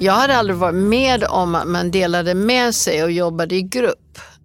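A woman at medium pitch and a moderate pace, with an English accent. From US Rocky Mountains. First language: English (speaking Swedish). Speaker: business executive. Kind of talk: interview.

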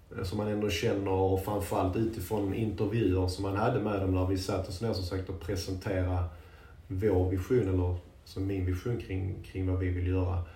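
Through audible room echo and noticeable background noise, a man with a very deep, low pitch speaks at a moderate pace in a monotone, flat intonation. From Sweden, Landskrona area (Skåne). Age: 30s. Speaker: women's football coach. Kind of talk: casual interview. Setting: locker room.

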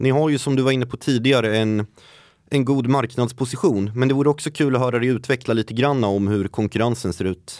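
On a very clean recording with a silent background and a dry, close sound with no echo, a man speaks in a normal speaking voice at medium pitch and a fairly quick pace with ordinary pitch variation. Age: 20s. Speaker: podcast host. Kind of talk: interview. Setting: studio.

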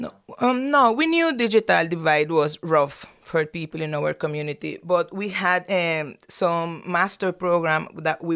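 In a Spanish accent, a woman speaks at a fairly low pitch with lively intonation. Her pace is fairly slow, and the recording is very clean with a silent background. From Nicaragua. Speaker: professor. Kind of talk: interview. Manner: halting.

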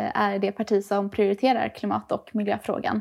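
In a normal speaking voice, a woman talks at a fairly quick pace with a fairly high pitch. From Gothenburg, Sweden (Hisingen). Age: 20s. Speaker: youth party spokesperson. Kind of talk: political interview.

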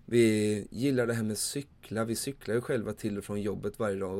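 Over a silent background in a very clean recording, a man speaks at a fairly quick pace in a monotone, flat intonation. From Sweden, Småland (Vimmerby). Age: 30s. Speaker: podcast host, campsite owner. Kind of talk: solo podcast monologue.

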